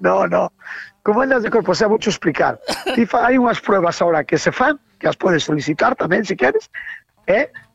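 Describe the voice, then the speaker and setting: Talking at a fairly quick pace, a woman uses very wide pitch swings and long, frequent pauses. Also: medium pitch for a woman, very even loudness, dry, close sound with no echo. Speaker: radio collaborator. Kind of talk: casual chat.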